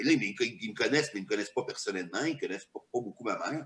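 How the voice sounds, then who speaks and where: Speaking very fast, a man uses lively intonation. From Quebec, small village. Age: 50s. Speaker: stand-up comedian and comedy writer. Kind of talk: casual interview chat.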